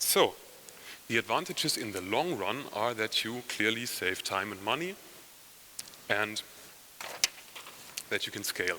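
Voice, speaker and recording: With a German accent, a man talks at a fairly slow pace in a medium pitch, using lively intonation and long, frequent pauses against noticeable background noise. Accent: non-native English, German. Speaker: software company head, conference speaker. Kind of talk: conference talk. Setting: conference session with audience.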